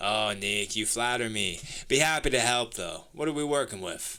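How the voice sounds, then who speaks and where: A man does a put-on character voice, raspy and gravelly. It sits at a medium pitch and moves at a moderate pace. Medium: read story.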